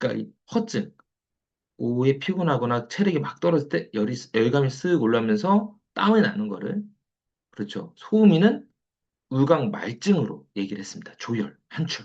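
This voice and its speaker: Somewhat breathy and fairly high-pitched, a man's voice makes very wide pitch swings and big swings in loudness. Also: moderate pace. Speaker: traditional Korean medicine lecturer. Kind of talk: online lecture. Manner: repetitive, filler-heavy.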